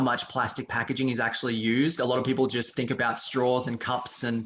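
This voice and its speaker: A man with an Australian accent at a moderate pace. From Australia, Sydney. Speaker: reusable straw business co-owner. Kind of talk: podcast interview.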